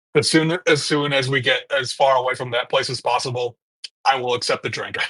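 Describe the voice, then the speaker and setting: A man uses a put-on character voice, raspy and at medium pitch. He talks fairly quickly in a monotone, flat delivery. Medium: actual play.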